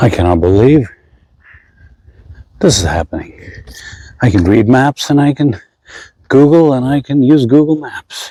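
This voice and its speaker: Soft-spoken and dark, mellow in tone, a man talks at a medium pitch and a moderate pace with lively intonation and long, frequent pauses, in a dry, close sound with no echo. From India. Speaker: travel vlogger. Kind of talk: casual vlog narration. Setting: outdoors walking in city streets. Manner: softly spoken.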